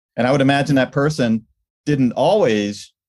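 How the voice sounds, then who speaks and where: Moderate-paced speech from a man with an unremarkable speaking voice. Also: very clean recording, silent background. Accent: American. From New York State, US. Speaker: leadership coach. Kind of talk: casual interview.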